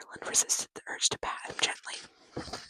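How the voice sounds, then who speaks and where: A woman whispers, her voice breathy. The sound is dry and close, with no echo. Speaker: ASMR creator. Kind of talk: ASMR book reading. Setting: background game audio, poor microphone. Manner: whispered, breathy, with stutters.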